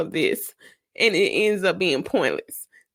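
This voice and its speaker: A woman speaks at a fairly slow pace. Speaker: podcast host and mentor. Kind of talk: personal monologue. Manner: halting.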